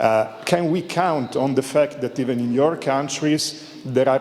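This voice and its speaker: Over noticeable background noise, a man speaks fairly slowly with ordinary pitch variation. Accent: Italian. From Italy. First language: Italian. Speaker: audience member asking question. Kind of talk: panel Q&A question. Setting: conference panel with audience. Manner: halting, many fillers.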